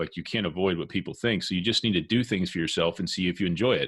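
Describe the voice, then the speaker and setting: Against a quiet background, a man with a very deep, low voice talks at a very fast pace. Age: 30s. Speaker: podcast host. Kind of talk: interview.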